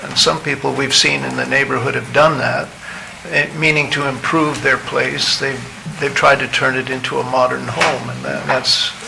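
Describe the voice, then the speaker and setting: At a moderate pace, a man talks over noticeable background noise, with audible echo from the room. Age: 70s. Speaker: property owner at public hearing. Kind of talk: public hearing statement.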